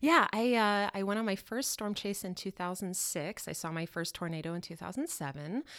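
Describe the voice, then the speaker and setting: An unremarkable speaking voice: a woman with an American accent, medium pitch, lively intonation, moderate pace and hardly any pauses, on a very clean recording with a silent background. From Colorado. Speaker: portrait photographer and storm chaser. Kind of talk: casual interview. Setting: studio.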